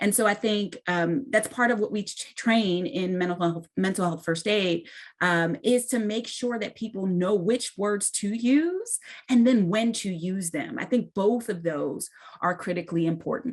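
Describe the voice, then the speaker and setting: A woman speaks fairly slowly in a plain, everyday voice, at medium pitch and with ordinary pitch variation. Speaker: mental health nonprofit leader. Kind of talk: panel discussion. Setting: virtual event.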